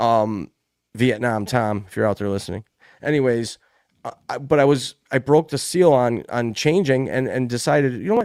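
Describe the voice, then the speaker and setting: Man with an unremarkable speaking voice, lively intonation and big swings in loudness at a moderate pace, in a very clean recording with a silent background. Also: medium pitch for a man. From United States. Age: 40s. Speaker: podcast host. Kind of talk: casual chat.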